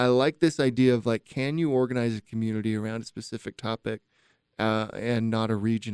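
A man with a Utah accent speaks at a medium pitch, using ordinary pitch variation. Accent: Utah American English. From Utah, Utah County (Spanish Fork). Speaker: tech community leader, CEO. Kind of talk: casual interview chat.

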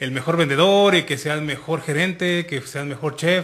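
At a moderate pace, a man with a bright, sharp tone and a fairly high pitch talks with fairly even intonation. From Mexico, Michoacán. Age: 30s. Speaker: podcast co-host. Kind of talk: casual chat.

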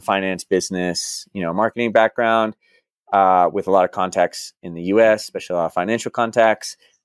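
With an American accent, a man speaks at a very fast pace in a very clean recording with a silent background and a dry, close sound with no echo. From Dallas, Texas. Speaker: expat who worked in banking abroad. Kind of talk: casual interview chat.

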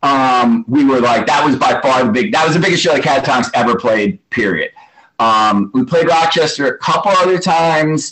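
A man with an American accent, an ordinary speaking voice, speaks at a moderate pace and a fairly high pitch, with lively intonation and very even loudness. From New York City. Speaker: hardcore punk musician. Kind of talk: interview.

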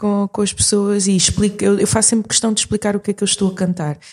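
A woman speaks very fast in a European Portuguese accent, with hardly any pauses and very even loudness. Her tone is dark and mellow, her intonation monotone and flat. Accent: European Portuguese-like. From Portugal, moved from Mozambique at age 6. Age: 40s. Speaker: singer and performer. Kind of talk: interview conversation. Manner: halting, many repetitions and fillers.

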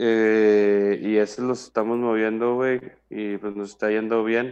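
A man's medium-pitched voice with ordinary pitch variation and a Mexican accent. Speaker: podcast guest. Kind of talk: casual chat, joke telling. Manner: animated.

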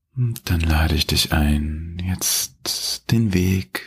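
A man speaks at a very slow pace with a very deep, low pitch. His tone is calm and soothing, and somewhat breathy. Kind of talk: guided meditation. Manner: slow, calm, soothing, with long pauses; gentle, warm, addressing listener as du.

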